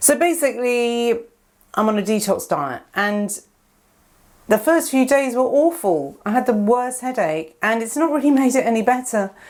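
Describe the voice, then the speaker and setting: A woman speaks in a high voice at a moderate pace. Her intonation is lively. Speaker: astrology vlogger. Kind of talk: casual monologue. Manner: hesitant, many fillers.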